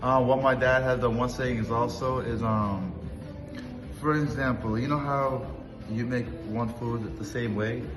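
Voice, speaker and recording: Noticeable background noise and audible room echo surround a man who speaks fairly slowly at a medium pitch, with fairly even intonation and long, frequent pauses. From US, moved from Russian-speaking country at six. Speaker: restaurant co-owner. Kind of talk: interview. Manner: halting, repeats words.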